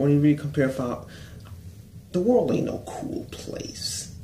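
The man's tone is dark and mellow and somewhat breathy. Audible room echo and light background noise surround him. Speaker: vlogger. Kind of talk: casual talk to camera. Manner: slurred. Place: home room. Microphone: phone near.

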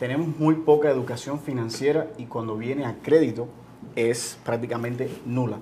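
Pitch varies in an ordinary way as a normal speaking voice moves at a moderate pace. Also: man. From Cuba. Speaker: entrepreneur, business owner. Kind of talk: interview.

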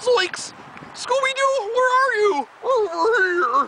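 Over loud background noise, a put-on character voice talks at a very slow pace with extremely high pitch. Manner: cartoonish, panicky.

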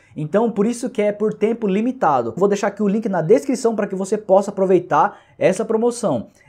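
The voice has a dark, mellow tone and ordinary pitch variation. It moves at a fairly quick pace over a quiet background. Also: man, high pitch for a man. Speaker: YouTube creator, online reseller. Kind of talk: sales pitch. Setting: solo video recording. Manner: urgent, pushy promo pitch; repetitive, chatty, filler-heavy. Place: home room.

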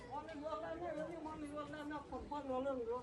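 A woman's high-pitched voice at a moderate pace, with crowd noise behind her. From Turkey, Ankara province (Haymana). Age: 80s+. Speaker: village elder. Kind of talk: emotional prayer. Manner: emotional.

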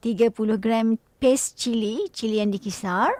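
A woman speaks at a very slow pace with a fairly high pitch. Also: dry, close sound with no echo. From Malaysia, Pahang. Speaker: radio host. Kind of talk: cooking show chat. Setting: radio studio, also streamed live. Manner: animated.

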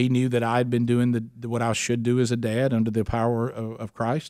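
A man with an Alabama accent against a quiet background. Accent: Southern US (Alabama). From US South, Alabama. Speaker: radio host. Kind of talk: interview. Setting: studio. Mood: earnest, reflective storytelling. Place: studio. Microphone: studio mic.

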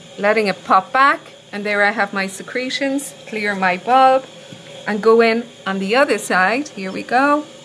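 A woman talks at a moderate pace with ordinary pitch variation. There is light background noise. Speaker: clinical educator. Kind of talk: tutorial.

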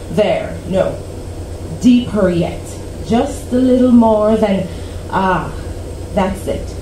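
A woman speaks at a very slow pace. Background noise is noticeable. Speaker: poet. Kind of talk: poetry reading. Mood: earnest, expressive. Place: cafe. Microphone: camera far.

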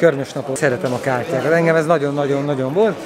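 A man's medium-pitched voice with fairly even intonation and faint background noise

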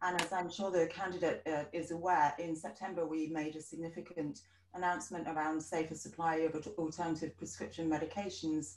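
Fairly quick speech with fairly even intonation carries audible room echo. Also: woman. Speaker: political candidate; candidate. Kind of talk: debate statements. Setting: video call. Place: home room. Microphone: video call.

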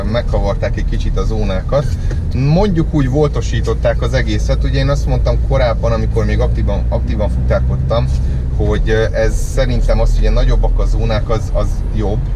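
Loud noise fills the background. Over it, the man talks at a fairly quick pace. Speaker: delivery courier vlogger. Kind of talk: casual vlog chat. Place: car. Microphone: camera far.

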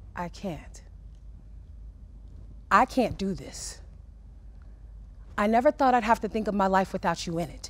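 A woman speaks with vocal fry and ordinary pitch variation. Her loudness swings widely, and she takes long, frequent pauses. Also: moderate pace. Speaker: spoken word poet. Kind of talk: poetry reading. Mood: emotional, heartfelt. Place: studio.

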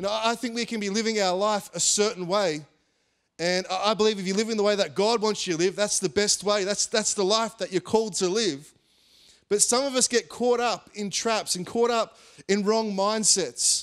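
A man's high-pitched voice with fairly even intonation against a quiet background. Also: moderate pace. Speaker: pastor. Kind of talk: sermon. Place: stage. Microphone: handheld.

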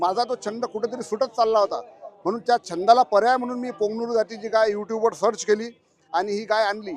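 A man speaks at a high pitch with fairly even intonation. Music plays in the background. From Vidarbha, Maharashtra (Akola district). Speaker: cow breeder and farmer. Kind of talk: interview at a livestock exhibition. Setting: livestock exhibition.

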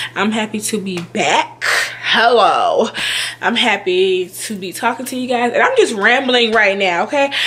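A woman in an ordinary speaking voice talks at a fairly slow pace and fairly high pitch, with ordinary pitch variation. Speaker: YouTuber, childcare worker. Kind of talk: casual vlog talk to camera. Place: home room. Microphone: webcam.

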